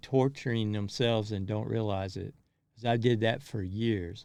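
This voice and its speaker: A man speaks at a fairly slow pace with a Kentucky accent. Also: very clean recording, silent background. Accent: Southern US (Kentucky). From US South, rural Kentucky. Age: 60s. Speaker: motivational vlogger. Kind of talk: personal monologue. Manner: halting.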